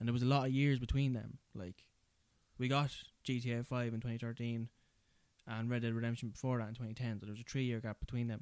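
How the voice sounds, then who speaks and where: In an Irish accent, a man speaks at medium pitch with flat, monotone intonation and a dry, close sound with no echo. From rural Ireland. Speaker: podcast host.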